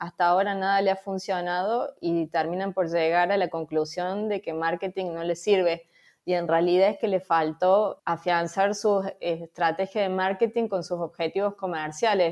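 Over a quiet background, a woman of medium pitch speaks at a moderate pace in a flat, monotone way. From Argentina, Córdoba. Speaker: marketing agency founder. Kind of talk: interview.

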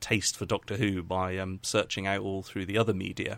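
On a very clean recording with a silent background, a man with an English accent speaks at a moderate pace. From England. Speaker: YouTube documentary maker. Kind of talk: casual interview.

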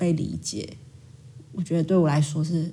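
The voice is somewhat breathy, in a Taiwanese accent. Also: woman. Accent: Taiwanese Mandarin. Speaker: school counseling psychologist. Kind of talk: casual interview chat.

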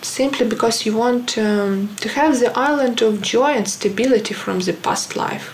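A woman with a Ukrainian accent talks at a moderate pace with hardly any pauses. Her pitch is fairly high with ordinary pitch variation, over noticeable background noise. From Ukraine. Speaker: illustrator. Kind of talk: personal statement. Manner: halting, many fillers.

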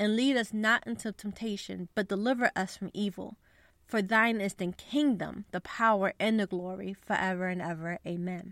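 A woman's normal speaking voice at medium pitch, with ordinary pitch variation and a moderate pace, dry and close with no echo, on a very clean recording over a silent background. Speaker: podcast host. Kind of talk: devotional podcast, reading prayer aloud; fervent prayer, earnest and heartfelt, spoken as a petition for persecuted believers. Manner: warm, earnest, sincere; conversational, friendly, somewhat casual with fillers.

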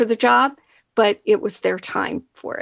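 Recorded very cleanly with a silent background, the woman speaks at a fairly slow pace in a dry, close sound with no echo. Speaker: marketing executive. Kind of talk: interview. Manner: soft-spoken.

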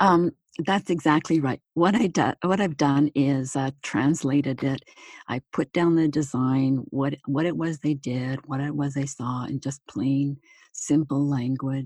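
A woman speaks at a very deep, low pitch with fairly even intonation, the sound dry and close with no echo. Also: fairly slow pace. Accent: Canadian. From Manitoba, Canada. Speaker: retired nurse, author and speaker. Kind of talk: interview. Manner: hesitant, many fillers.

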